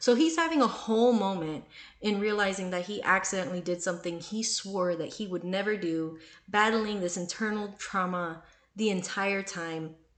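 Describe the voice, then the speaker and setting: An animated voice with ordinary pitch variation moves at a moderate pace amid audible room echo. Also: woman, medium pitch for a woman. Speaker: book reviewer. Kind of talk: casual book review monologue.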